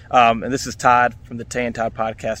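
This is a man speaking. His intonation is monotone and flat. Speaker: podcaster and sports fan. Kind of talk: recorded fan testimony.

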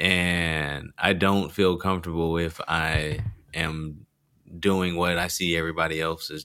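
A man with a very deep, low pitch but a bright, sharp tone talks in monotone, flat intonation on a very clean recording with a silent background. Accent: American. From rural Texas. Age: 20s. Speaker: stand-up comedian. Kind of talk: casual chat.

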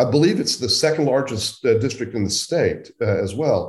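The voice is somewhat breathy. It belongs to a man with an American accent. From central Oklahoma. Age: 60s. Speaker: journalist. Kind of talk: interview.

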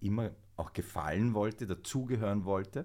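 This man speaks with ordinary pitch variation on a very clean recording with a silent background. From Vienna, Austria. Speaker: actor. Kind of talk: casual chat.

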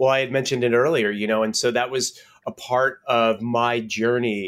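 At a medium pitch, a man speaks at a moderate pace with ordinary pitch variation. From Connecticut, US. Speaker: mindfulness teacher. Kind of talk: casual interview. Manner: halting, many fillers.

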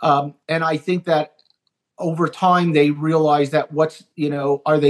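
With a dry, close sound and no echo, a man speaks in a normal speaking voice at a fairly high pitch. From Canada. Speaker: TV writer and producer. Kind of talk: casual interview chat.

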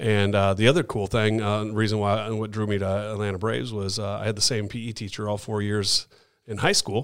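A normal speaking voice from a man with an American accent, fairly low in pitch, at a fairly quick pace with fairly even intonation, on a very clean recording with a silent background. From Chicago. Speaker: studio owner. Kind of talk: casual chat. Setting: studio.

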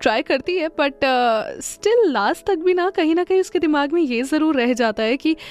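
Over music in the background, a woman speaks at an extremely high pitch in a dry, close sound with no echo. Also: lively intonation, moderate pace. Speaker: radio host. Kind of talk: solo podcast monologue. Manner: casual, Hinglish code-switching; filler-heavy with hesitations.

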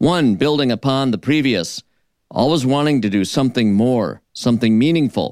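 At a moderate pace, the speech sounds dry and close with no echo on a very clean recording with a silent background. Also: man. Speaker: radio host. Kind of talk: radio show recap. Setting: radio studio. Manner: enthusiastic, animated.

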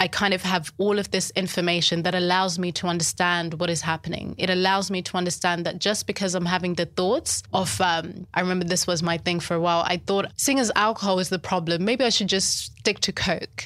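A woman with a Zimbabwean accent talks at a fairly quick pace and medium pitch, with hardly any pauses. Her loudness is very even, her intonation fairly even, and the recording is very clean with a silent background. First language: Shona. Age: 30s. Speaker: life coach and writer. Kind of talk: casual interview conversation.

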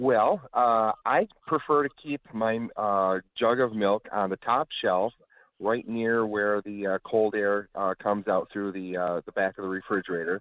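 A man's plain, everyday voice in an American accent, fairly low, fairly slow, with ordinary pitch variation. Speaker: caller. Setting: phone call.

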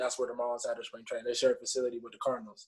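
A man talks with an Atlanta accent. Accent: US South (Atlanta). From Atlanta, Georgia. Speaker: minor league baseball player. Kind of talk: podcast interview.

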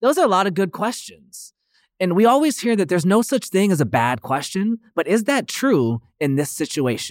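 A man with a high voice speaks at a moderate pace, his pitch swinging very widely, in a very clean recording with a silent background. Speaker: podcast host and college counselor. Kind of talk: casual chat.

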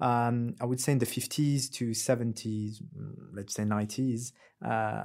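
Speaking at a fairly slow pace with a French accent, a man talks at a medium pitch in a very clean recording against a silent background. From France, Algerian heritage. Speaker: creative entrepreneur. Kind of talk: casual chat. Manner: halting.

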